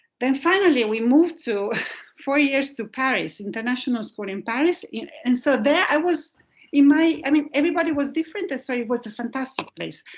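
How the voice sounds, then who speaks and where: A woman speaks fairly quickly with lively intonation. Her pitch is high. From northern Italy (Brianza, near Milan). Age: 50s. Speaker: corporate governance consultant, mentor. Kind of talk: talk with audience Q&A. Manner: halting.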